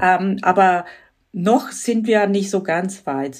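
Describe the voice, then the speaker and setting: A woman with a Croatian accent, at a very slow pace and medium pitch, with ordinary pitch variation. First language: Croatian (speaking German). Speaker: radio editor. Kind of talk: interview.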